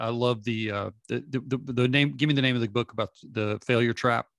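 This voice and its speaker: A plain, everyday voice from a man, medium in pitch with fairly even intonation. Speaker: podcast host. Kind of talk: interview conversation.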